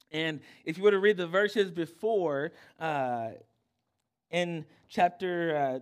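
The recording is very clean with a silent background, capturing a man's high-pitched voice with ordinary pitch variation. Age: 30s. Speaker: youth pastor. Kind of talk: youth-group sermon, conversational evangelical preaching to teenagers from a stage. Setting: church youth service, stage with live audience. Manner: casual, halting with frequent uh and repeated words.

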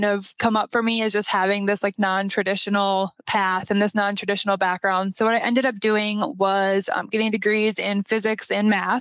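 With a slight Minnesotan accent, a woman speaks at a moderate pace and fairly even intonation in a very clean recording with a silent background and a dry, close sound with no echo. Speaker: structural engineer. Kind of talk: casual interview chat.

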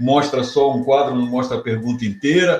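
A man talks at a fairly quick pace with a fairly high pitch. His pitch variation is ordinary, and there is noticeable background noise. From Rio de Janeiro, Brazil. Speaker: professor of entrepreneurship. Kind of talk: interview conversation.

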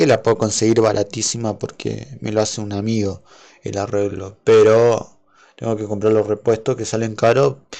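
Against a quiet background, a man speaks at a moderate pace in a fairly low pitch. His tone is dark and mellow, his intonation flat and monotone. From Argentina. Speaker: YouTuber and podcaster. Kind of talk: casual solo livestream monologue. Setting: home livestream with OBS.

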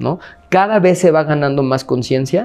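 A man talks with a Mexican accent. His pitch variation is ordinary. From Mexico. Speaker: anti-racism activist. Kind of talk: interview. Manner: filler-heavy, hesitant.

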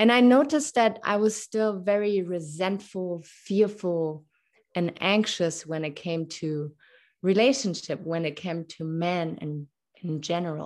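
A woman speaks with a German accent and lively intonation. The background is quiet. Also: fairly low pitch for a woman, fairly slow pace. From Germany. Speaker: podcast host. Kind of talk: interview conversation.

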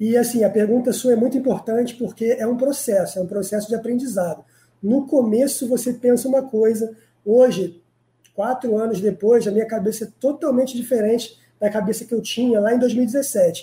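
A man speaks at a moderate pace in an extremely high pitch with a dark, mellow tone and fairly even intonation. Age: 30s. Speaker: crypto day trader. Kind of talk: live-stream interview. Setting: live online video stream.

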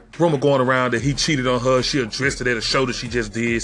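With noticeable background noise around him, the man speaks very rapidly at a medium pitch. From Memphis, Tennessee, US South. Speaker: podcast host. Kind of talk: casual monologue.

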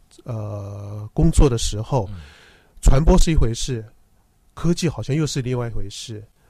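Somewhat breathy man with a dark, mellow tone, medium pitch and lively intonation at a fairly slow pace, with long, frequent pauses and big swings in loudness, on a very clean recording with a silent background. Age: 50s. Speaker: health communication director, former TV professional. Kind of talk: radio interview.

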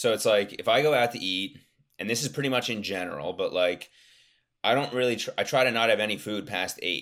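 A man speaks at a fairly quick pace in an ordinary speaking voice, medium in pitch with ordinary pitch variation, on a very clean recording with a silent background. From US Northeast, Philadelphia suburbs. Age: 20s. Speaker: nutrition and endurance coach. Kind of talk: casual interview chat. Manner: many filler words.

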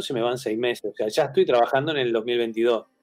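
Medium-pitched male speech at a fairly quick pace. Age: 50s. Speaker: graphic designer and teacher. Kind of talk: interview. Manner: halting, many fillers and repeated words.

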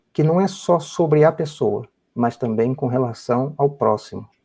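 Pitch moves in a normal way. The voice has a dark, mellow tone. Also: man. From Brazil, Rio de Janeiro. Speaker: biomedical researcher. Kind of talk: interview.

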